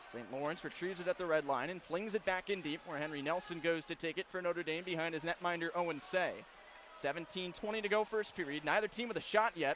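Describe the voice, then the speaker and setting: A high-pitched male voice at a very fast pace, with ordinary pitch variation and noticeable background noise. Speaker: radio play-by-play announcer. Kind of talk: fast live hockey play-by-play. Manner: quick, rapid-fire.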